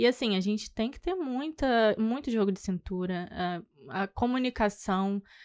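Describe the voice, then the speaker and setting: A woman speaks with lively intonation against a quiet background. The sound is dry and close, with no echo. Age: 20s. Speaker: tour guide. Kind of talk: podcast interview. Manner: soft-spoken; halting.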